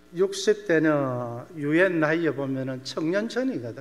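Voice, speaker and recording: A man speaks at a fairly high pitch and a fairly slow pace. His pitch varies in an ordinary way, and room echo is audible. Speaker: missionary pastor. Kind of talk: sermon.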